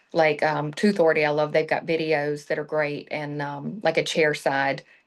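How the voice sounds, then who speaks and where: A woman talks at a moderate pace in a very deep, low voice with monotone, flat intonation. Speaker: dental industry marketing manager. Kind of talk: podcast interview. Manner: casual, filler-heavy.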